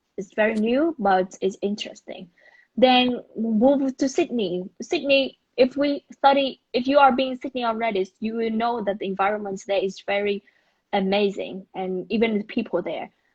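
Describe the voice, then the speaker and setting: A woman with a Vietnamese accent speaks at a moderate pace in a fairly high pitch, her voice somewhat breathy. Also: ordinary pitch variation. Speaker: business school alumna. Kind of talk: online interview. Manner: halting.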